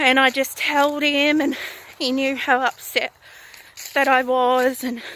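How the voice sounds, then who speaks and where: A woman with an Australian accent speaks at a high pitch in a raised, projected voice. She talks at a fairly slow pace over noticeable background noise. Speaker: vlogger. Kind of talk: casual vlog monologue. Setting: outdoors, walking. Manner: loud.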